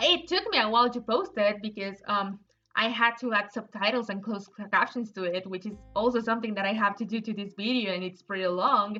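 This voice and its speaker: With music in the background, the speaker talks at a fairly quick pace with fairly even intonation and a slight Mexican accent. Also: woman, fairly high pitch for a woman. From Mexico. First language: Spanish. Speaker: digital artist. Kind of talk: casual unscripted narration. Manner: halting, repeats words. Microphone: poor audio quality.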